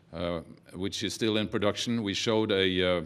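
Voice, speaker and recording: A man with a Norwegian accent speaks in a very deep, low pitch with fairly even intonation. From Norway. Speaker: documentary film producer. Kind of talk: press conference talk. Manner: halting, many fillers.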